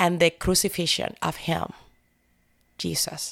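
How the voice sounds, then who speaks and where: Over a very clean recording with a silent background, a woman with a Spanish accent speaks at a fairly low pitch and a fairly slow pace, monotone and flat, with vocal fry. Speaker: church prayer team member. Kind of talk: faith testimony interview. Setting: studio. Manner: emotional.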